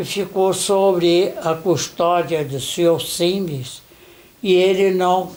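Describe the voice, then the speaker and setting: Very slowly and with fairly even intonation, a man speaks in a high pitch amid audible room echo. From Brazil, Nova Friburgo. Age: 70s. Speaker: interviewee, son of a German factory worker. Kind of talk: interview.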